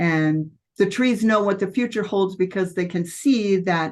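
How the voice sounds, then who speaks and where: A woman talks in a plain, everyday voice at a moderate pace with ordinary pitch variation. The background is quiet. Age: 60s. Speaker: debut novelist. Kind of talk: interview.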